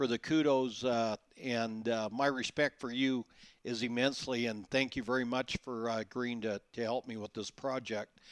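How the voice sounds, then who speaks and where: A man speaks at a medium pitch and a moderate pace. The recording is very clean and silent behind him, with a dry, close sound and no echo. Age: 60s. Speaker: author and salesman. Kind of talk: interview. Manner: halting, many fillers.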